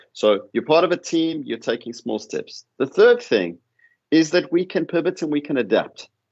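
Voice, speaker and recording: A man talks at a fairly quick pace in a South African accent, with vocal fry. His pitch swings very widely. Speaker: professor. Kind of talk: panel discussion. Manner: repeats words, some false starts.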